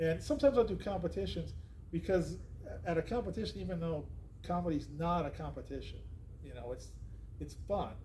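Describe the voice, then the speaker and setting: A man's fairly quick speech with long, frequent pauses, big swings in loudness, and audible room echo. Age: 60s. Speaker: podcast host and comedian. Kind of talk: casual chat. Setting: comedy club.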